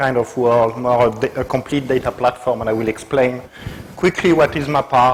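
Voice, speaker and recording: With a French accent, a man speaks at a moderate pace and fairly even intonation over noticeable background noise. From Brittany, northwest France. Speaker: technical evangelist. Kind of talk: tech talk to meetup audience.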